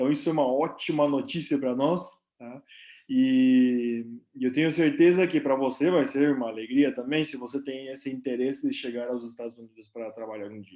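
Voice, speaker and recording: Over a quiet background, a man at medium pitch uses a dark, mellow tone, a moderate pace and fairly even intonation, with big swings in loudness. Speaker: nurse and company representative. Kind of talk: live stream presentation. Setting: live stream. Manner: casual, filler-heavy.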